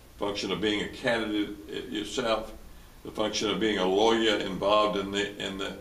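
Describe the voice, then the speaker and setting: A man with an American accent, fairly low pitch and fairly even intonation at a moderate pace, amid audible room echo and noticeable background noise. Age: 80s+. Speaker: lawyer and former newspaper publisher. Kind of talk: interview. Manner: halting, many repetitions and fillers.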